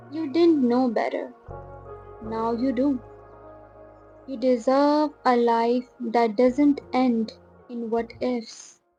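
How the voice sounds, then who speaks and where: Music plays in the background as a woman speaks very slowly in a calm tone and a high pitch. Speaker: video creator / narrator. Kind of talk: reflective motivational voiceover. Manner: calm, soft-spoken.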